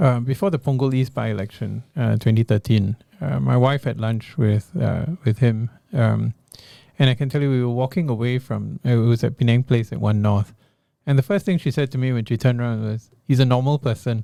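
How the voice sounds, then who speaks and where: A man talks at a fairly quick pace and medium pitch with ordinary pitch variation and a dark, mellow tone. The sound is dry and close with no echo. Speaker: politician and infectious disease professor. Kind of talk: interview.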